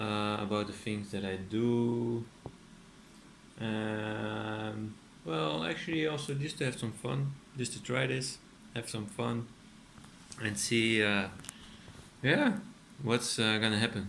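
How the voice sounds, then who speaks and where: Speaking very slowly with long, frequent pauses, a man with a Dutch accent has a fairly low pitch and ordinary pitch variation. Noticeable background noise and audible room echo fill the recording. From Netherlands. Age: 30s. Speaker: artist and furniture maker. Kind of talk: casual vlog monologue. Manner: hesitant, many fillers.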